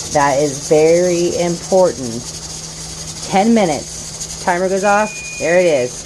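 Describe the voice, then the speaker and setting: With noticeable background noise and audible room echo, the speaker goes at a fairly slow pace, leaving long, frequent pauses, with very even loudness and ordinary pitch variation. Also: woman, fairly low pitch for a woman. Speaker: homesteader, stay-at-home mom. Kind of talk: casual tutorial. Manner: casual, hesitant with fillers.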